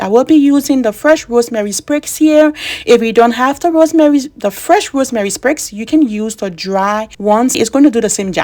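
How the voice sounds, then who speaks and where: This woman speaks with a Liberian accent at a high pitch. Her intonation is lively. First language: Bassa. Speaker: beauty vlogger. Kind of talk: tutorial. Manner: casual.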